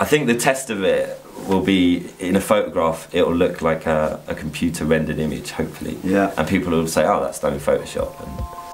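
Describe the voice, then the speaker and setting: With music in the background, a man talks at a fairly quick pace with hardly any pauses. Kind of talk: interview answer. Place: workshop.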